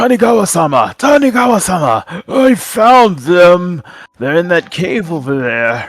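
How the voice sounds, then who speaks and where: A man does a put-on character voice at a high pitch. His pitch swings very widely. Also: moderate pace. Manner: eager, reporting to his master.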